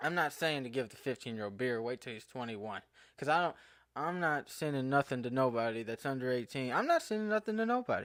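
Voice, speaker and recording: A mumbling man with an American accent, very fast, medium-pitched, with lively intonation, on a very clean recording with a silent background. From Eastern Kentucky. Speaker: podcaster. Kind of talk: casual monologue podcast. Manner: halting, self-correcting.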